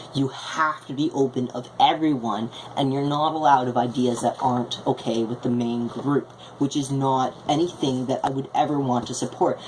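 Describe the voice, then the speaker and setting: A woman's very deep, low voice at a moderate pace, fairly even in intonation, with noticeable background noise. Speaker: vlogger. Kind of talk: video blog monologue. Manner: halting.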